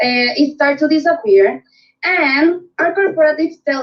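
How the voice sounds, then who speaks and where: A woman with a Spanish accent, lively intonation and a fairly slow pace. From Puerto Rico. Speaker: network marketing director. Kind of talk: sales pitch on video call. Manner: halting.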